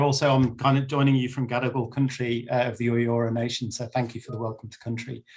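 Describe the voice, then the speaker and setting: With an English accent, a man speaks at a fairly quick pace in a somewhat breathy, medium-pitched voice with monotone, flat intonation. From England. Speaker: banker and panel speaker. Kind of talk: webinar panel talk. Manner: hesitant, many fillers.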